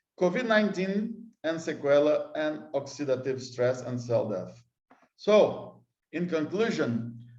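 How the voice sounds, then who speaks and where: A man's fairly high voice in a Brazilian accent, fairly slow, with very wide pitch swings and audible room echo. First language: Portuguese. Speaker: scientist. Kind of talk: conference lecture. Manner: halting.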